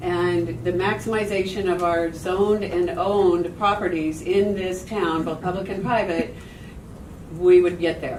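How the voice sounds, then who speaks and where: Amid noticeable background noise and audible room echo, a woman with a medium pitch speaks with fairly even intonation. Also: fairly slow pace. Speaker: public commenter at homelessness meeting. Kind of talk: public comment at meeting.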